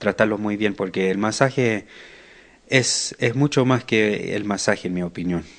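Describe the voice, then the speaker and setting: A man speaks at a fairly slow pace in a fairly low pitch, his intonation fairly even over a quiet background. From Buenos Aires, Argentina, raised in US. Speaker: massage therapist. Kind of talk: interview. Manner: halting.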